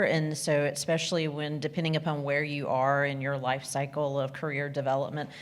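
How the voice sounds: The woman talks at a moderate pace in a low pitch, with few pauses.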